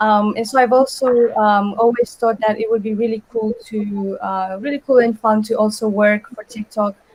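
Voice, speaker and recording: A woman with a fairly high, somewhat breathy voice speaks in a monotone, flat intonation at a moderate pace. She takes hardly any pauses, and the sound is dry and close with no echo. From Romania. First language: Romanian. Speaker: design intern. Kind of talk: webinar panel talk. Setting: live webinar, video call.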